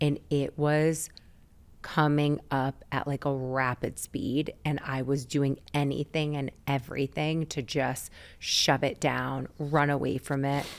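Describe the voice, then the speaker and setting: On a very clean recording with a silent background, a woman speaks at a very deep, low pitch. Her pace is very slow and her intonation monotone and flat. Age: 40s. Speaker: wellness podcast host. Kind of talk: interview conversation.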